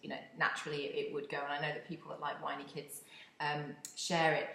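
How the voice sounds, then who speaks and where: A woman speaks very fast in a very deep, low voice. Noticeable background noise and audible room echo surround her. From UK. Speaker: podcast host, community engagement consultant. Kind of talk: casual monologue. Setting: home office.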